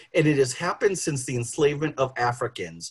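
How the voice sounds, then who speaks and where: This man has an American accent, a fairly high pitch and a somewhat breathy voice. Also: quiet background. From Boston. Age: 50s. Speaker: sociologist. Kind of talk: panel talk. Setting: video call.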